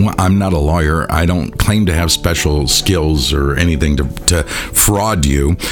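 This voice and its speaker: Over noticeable background noise, a man with a very deep, low pitch talks at a fairly slow pace with hardly any pauses, very even loudness and ordinary pitch variation. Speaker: musician and podcast host. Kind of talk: solo rant monologue. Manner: casual, rambling, heated.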